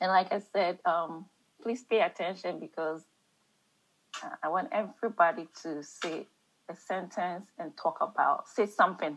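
A woman with an African accent, at a medium pitch with ordinary pitch variation and a fairly slow pace. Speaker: Bible study leader. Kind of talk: group Bible study discussion.

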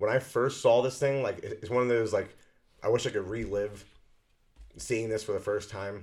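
A man speaks at a moderate pace and medium pitch with fairly even intonation. His speech has long, frequent pauses. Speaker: podcast co-host. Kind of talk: casual chat.

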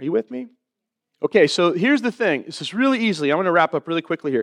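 Against a quiet background, a man's voice comes through dry and close, with no echo. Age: 40s. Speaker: pastor. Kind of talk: sermon. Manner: animated.

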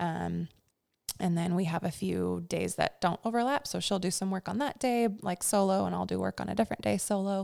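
The recording is very clean, with a silent background. A woman speaks at a fairly quick pace. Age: 30s. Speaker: mother and small business owner. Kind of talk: casual interview.

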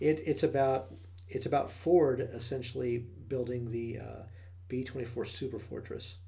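Speaking with an American accent at a moderate pace, a man has a dark, mellow tone, a somewhat breathy voice, medium pitch and ordinary pitch variation, with audible room echo. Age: 40s. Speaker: podcast co-host. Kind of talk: casual chat.

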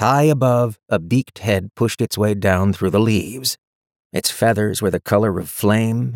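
The speaker does plain reading aloud. A quiet background sits behind the voice.

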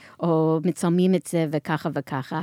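In a very clean recording with a silent background, a woman speaks at a very slow pace, the sound dry and close with no echo. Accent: American. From US, New York. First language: English (speaking Hebrew). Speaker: marketing executive and nonprofit founder. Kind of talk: interview. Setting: studio. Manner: halting.

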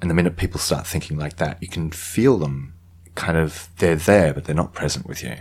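Vocal fry at a fairly quick pace. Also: man, very deep, low pitch for a man, ordinary pitch variation. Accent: Australian. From Queensland, Australia. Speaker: actor and director. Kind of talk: casual interview chat. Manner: reflective, low energy.

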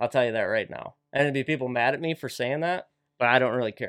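Here is an unremarkable speaking voice with an American accent at a fairly quick pace. The recording is very clean, with a silent background. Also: man. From Wisconsin, Lake Winnebago area. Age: 30s. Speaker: professional walleye angler. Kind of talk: casual interview. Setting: studio.

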